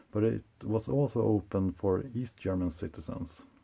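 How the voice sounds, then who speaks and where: A man's dark, mellow voice with a non-native accent, fairly low in pitch and fairly slow in pace. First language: not English. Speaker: collector and video presenter. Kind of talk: show-and-tell presentation. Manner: hesitant, many uh fillers.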